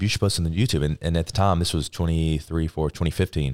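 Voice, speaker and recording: Speech comes at a very fast pace in a very clean recording with a silent background and a dry, close sound with no echo. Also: man. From US South, northern Alabama. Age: 20s. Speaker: Navy veteran and fitness content creator. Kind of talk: casual interview.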